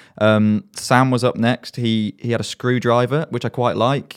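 The recording is very clean and the background silent. It features a man with an English accent. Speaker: student radio host and DJ. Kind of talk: casual radio show presenting, playful self-mocking banter between songs. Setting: radio studio broadcast. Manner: chatty, jokey, filler-heavy with frequent ums; self-deprecating, mock-pompous.

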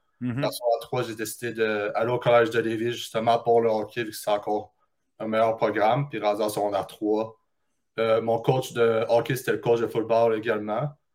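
At a fairly quick pace, a man speaks at a medium pitch in a monotone, flat intonation. The recording is very clean with a silent background. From Quebec, Beauce region. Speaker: university football recruit. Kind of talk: interview.

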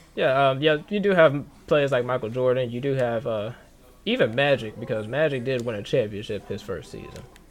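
A man talks at a fairly quick pace in an ordinary speaking voice. His pitch is medium with ordinary pitch variation. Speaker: podcast host. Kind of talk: casual sports podcast chat. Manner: casual, laughing, banter.

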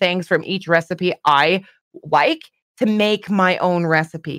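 A woman with a Canadian accent has a plain, everyday voice, medium in pitch with ordinary variation. The sound is dry and close, with no echo. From Canada. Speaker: streamer. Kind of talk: casual chat.

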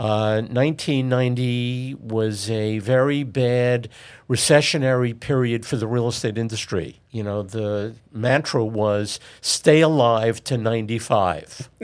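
Speaking at a very slow pace with ordinary pitch variation, a man with a New York accent is heard on a very clean recording with a silent background. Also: medium pitch for a man. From New York City (Queens). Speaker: commercial real estate broker. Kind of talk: interview.

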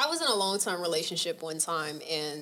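An American-accented woman talks at a fairly quick pace in a bright, sharp tone. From Atlanta, Georgia, US South. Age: 20s. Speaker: podcast guest. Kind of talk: casual chat.

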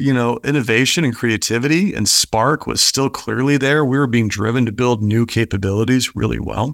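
A man speaks in a plain, everyday voice at a medium pitch and moderate pace, with ordinary pitch variation. His loudness stays very even, and the recording is very clean with a silent background. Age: 50s. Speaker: business executive and author. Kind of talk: interview.

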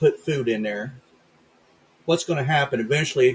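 Pitch moves in an ordinary way here. The voice has a somewhat breathy quality. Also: man. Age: 60s. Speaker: podcast host. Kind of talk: political rant; casual chat.

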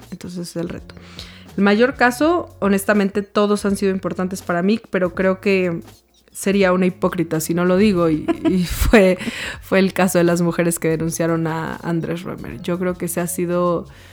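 A woman of medium pitch keeps fairly even intonation over noticeable background noise. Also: moderate pace. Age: 20s. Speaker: lawyer and founder of a women's support association. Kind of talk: interview.

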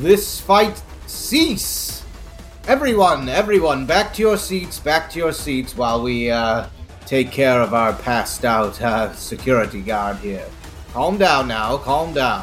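A man does a loud, booming put-on character voice at a very slow pace, his pitch swinging very widely. Clear music plays in the background. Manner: commanding, calming.

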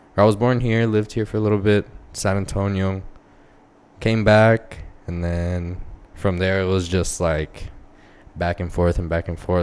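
A man speaks with an American accent at a very deep, low pitch. His intonation stays monotone and flat at a moderate pace. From El Paso, Texas. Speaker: small business owner. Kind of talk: casual chat.

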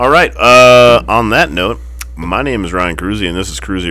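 With vocal fry and a bright, sharp tone, a man talks at a fairly quick pace. His pitch swings very widely, and room echo is audible. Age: 40s. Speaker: motorcycle shop owner and podcast host. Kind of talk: casual chat. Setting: motorcycle shop. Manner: animated.

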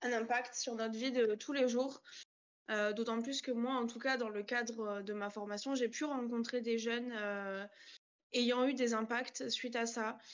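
A woman's fairly high voice in a monotone, flat intonation at a fairly slow pace. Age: 20s. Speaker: trainee social educator. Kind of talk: casual online panel discussion.

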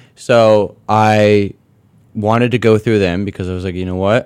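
In a very clean recording with a silent background, a man speaks at a moderate pace. He has an unremarkable speaking voice, fairly low in pitch, with fairly even intonation. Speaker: university student entrepreneur. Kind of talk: interview. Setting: studio. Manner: casual with many fillers.

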